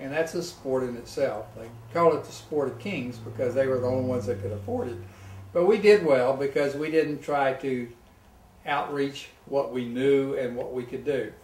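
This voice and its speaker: A man speaks at a medium pitch and a moderate pace, with ordinary pitch variation and big swings in loudness. Noticeable background noise and audible room echo are present. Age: 70s. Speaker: retired tennis pro and golfer. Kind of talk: casual interview.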